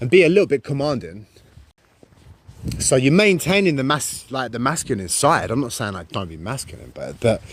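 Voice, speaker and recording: Speaking at a fairly quick pace, a man with a medium pitch shows vocal fry, very wide pitch swings and big swings in loudness. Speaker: live streamer. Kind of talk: casual livestream chat. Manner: halting.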